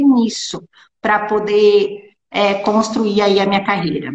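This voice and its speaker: A woman is speaking here. Her pace is very slow. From Brazil, small town. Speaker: lawyer and law teacher. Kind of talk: interview. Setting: Instagram live video call. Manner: halting.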